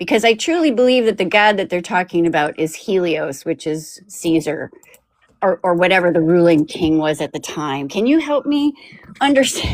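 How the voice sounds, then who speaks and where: Pitched fairly low, a woman's voice swings very widely in pitch. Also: moderate pace. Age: 60s. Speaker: caller. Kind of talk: casual chat. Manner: halting, repeats words.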